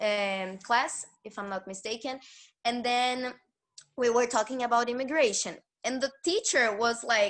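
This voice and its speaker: Speaking at a fairly slow pace in a Brazilian accent, a woman is heard on a very clean recording with a silent background. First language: Portuguese. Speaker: former foreign exchange student. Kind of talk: interview answer.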